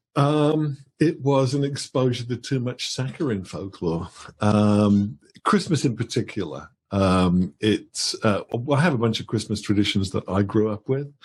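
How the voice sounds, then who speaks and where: A man's somewhat breathy, medium-pitched voice, slowish in pace, with lively intonation against a quiet background. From England, Birmingham. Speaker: author. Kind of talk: interview. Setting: live stream.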